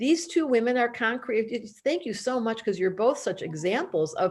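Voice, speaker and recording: A high-pitched female voice with lively intonation, a moderate pace and a quiet background. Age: 60s. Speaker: astrologer and school founder. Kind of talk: promotional video chat.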